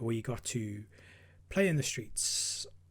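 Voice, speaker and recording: Medium-pitched, somewhat breathy male voice with a South African accent. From South Africa, KwaZulu-Natal north coast. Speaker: podcast host. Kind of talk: personal monologue.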